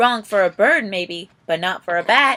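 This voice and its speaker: A woman speaks loudly at a moderate pace in a put-on character voice. Her pitch sits in the medium range. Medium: read story.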